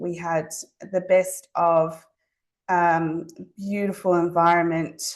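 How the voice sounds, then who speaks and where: This woman has a slight Zimbabwean accent and a fairly low pitch. Her intonation is monotone and flat, and the background is quiet. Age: 40s. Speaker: allied health private practitioner. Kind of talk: webinar presentation. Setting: online webinar. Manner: hesitant, many fillers.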